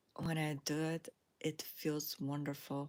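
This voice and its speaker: A woman's fairly low voice at a very slow pace, with a non-native accent. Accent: foreign. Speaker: spiritual lifestyle YouTuber. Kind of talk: casual livestream monologue. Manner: relaxed, with frequent fillers.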